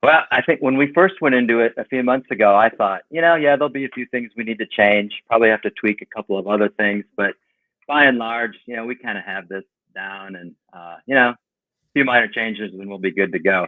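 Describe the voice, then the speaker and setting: An ordinary speaking voice at a fairly quick pace, ordinary pitch variation, and big swings in loudness. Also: man, medium pitch for a man. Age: 60s. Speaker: painting company owner. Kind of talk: podcast interview.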